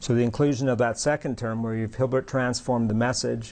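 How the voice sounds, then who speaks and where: A man with an unremarkable speaking voice keeps a medium pitch and fairly even intonation. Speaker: university lecturer. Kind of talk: lecture. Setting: classroom with students.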